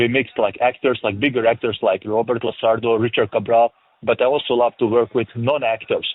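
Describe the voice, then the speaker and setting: A man with a strong European accent speaks fairly quickly at medium pitch, his intonation monotone and flat and his loudness very even. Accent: thick European. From former Yugoslavia. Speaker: film director and producer. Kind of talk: interview. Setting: remote interview.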